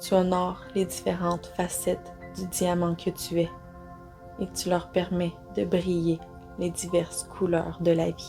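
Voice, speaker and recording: A woman speaks in a calm, soothing tone at a very slow pace with long, frequent pauses. Music plays in the background. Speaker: guided meditation guide. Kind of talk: guided meditation with positive affirmations. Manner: calm, soothing, slow.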